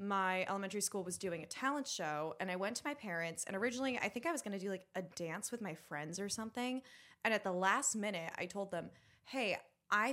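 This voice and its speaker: An animated woman speaks at a fairly quick pace and a medium pitch, with a bright, sharp tone and lively intonation. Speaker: musical theatre actress. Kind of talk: casual chat.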